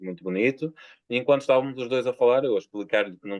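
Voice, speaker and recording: A man with a European Portuguese accent at a very fast pace, with ordinary pitch variation. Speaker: poet. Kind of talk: interview. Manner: halting.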